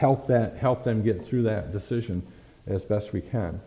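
At a fairly quick pace, the voice carries a dark, mellow tone, somewhat breathy, with fairly even intonation. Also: man. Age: 60s. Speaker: pastor. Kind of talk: sermon. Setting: church.

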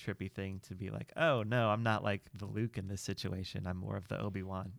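With an American accent, a man talks at a moderate pace in a fairly low pitch with ordinary pitch variation, on a very clean recording with a silent background. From US Midwest. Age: 30s. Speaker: Star Wars fan interviewee. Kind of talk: casual chat. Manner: halting.

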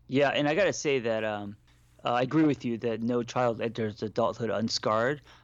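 A man talks at a fairly quick pace in a medium pitch with ordinary pitch variation, in an ordinary speaking voice. The background is quiet. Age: 40s. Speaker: therapist and life coach. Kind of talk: casual chat.

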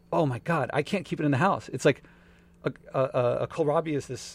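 This man speaks with an American accent and vocal fry. His pitch variation is ordinary. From Philadelphia, US. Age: 40s. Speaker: author and entrepreneur. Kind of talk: casual interview.

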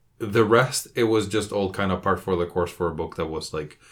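With a Spanish accent, a man speaks at a moderate pace in a very deep, low pitch on a very clean recording with a silent background. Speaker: podcast co-host, book club. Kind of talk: casual book discussion.

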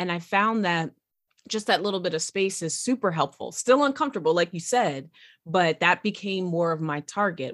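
In a dry, close recording with no echo, a woman with a plain, everyday voice speaks at a fairly low pitch and a moderate pace, her intonation lively. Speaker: podcast host. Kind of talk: interview.

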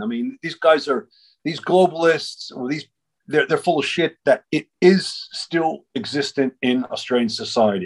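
A man with an American accent speaks at a moderate pace in an unremarkable speaking voice, his intonation lively. The sound is dry and close with no echo over a quiet background. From United States. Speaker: media channel host with legal background. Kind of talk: casual chat.

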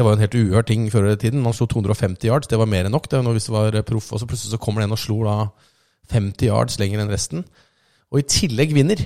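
Very fast speech from a man with a fairly low pitch and a dark, mellow tone, using ordinary pitch variation. The recording is very clean, with a silent background. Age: 40s. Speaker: podcast host. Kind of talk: casual chat.

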